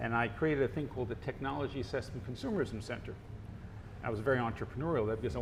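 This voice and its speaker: A man with an American accent talks at a very fast pace, showing vocal fry and ordinary pitch variation. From United States. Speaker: marketing professor and author. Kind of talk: interview.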